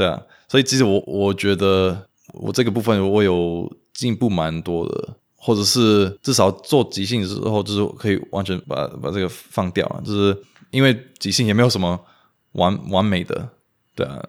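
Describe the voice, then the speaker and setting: The recording is very clean and the background silent. A man talks at a moderate pace in a fairly low pitch, with ordinary pitch variation. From US (Romanian immigrant family). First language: Romanian (speaking Chinese). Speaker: language enthusiast, improv performer. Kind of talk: interview. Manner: halting, frequent repetitions.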